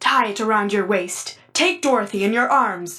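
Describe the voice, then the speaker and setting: A female-sounding, medium-pitched put-on character voice speaks at a moderate pace. It growls and bellows. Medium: read story. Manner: gruff, forceful.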